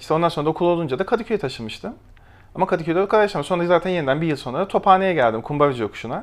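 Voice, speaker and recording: This man talks at a very fast pace with a high pitch and lively intonation. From Turkey, Kastamonu and Konya. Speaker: illustrator and graphic designer. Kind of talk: casual chat.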